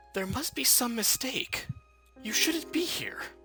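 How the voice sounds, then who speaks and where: A high-pitched, put-on character voice talks at a fairly slow pace. Clear music plays in the background. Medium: actual play.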